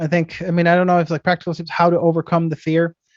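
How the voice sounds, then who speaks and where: Speaking at a very fast pace, a man uses a high pitch. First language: not English. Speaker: IT entrepreneur. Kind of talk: talk giving advice at a meeting. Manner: halting, many fillers and repetitions.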